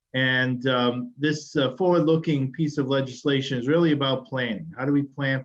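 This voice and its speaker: With a Massachusetts accent, a man talks at a moderate pace and medium pitch, his intonation fairly even and his speech with hardly any pauses. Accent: Massachusetts accent, still noticeable. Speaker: state transportation secretary. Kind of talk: webinar presentation. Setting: webinar.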